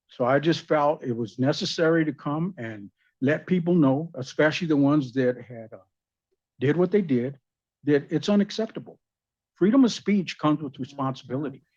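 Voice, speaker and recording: A man with a fairly high pitch talks at a moderate pace in a plain, everyday voice with ordinary pitch variation. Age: 60s. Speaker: resident speaking at council. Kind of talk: public comment at council meeting. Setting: city council meeting.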